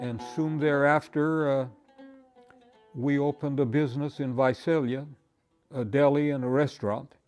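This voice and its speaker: Over background music, a man talks at a fairly slow pace with fairly even intonation. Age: 80s. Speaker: farmer and musician. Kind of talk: interview answer.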